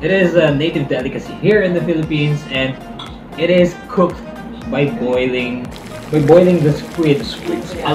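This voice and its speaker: Clear music plays in the background while a man speaks at a moderate pace with ordinary pitch variation. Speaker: perfume reviewer. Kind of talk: review commentary. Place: home room.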